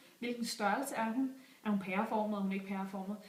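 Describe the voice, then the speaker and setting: Audible room echo and noticeable background noise around a woman's voice. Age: 20s. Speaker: job applicant, store manager. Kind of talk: video job application pitch. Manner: enthusiastic, persuasive.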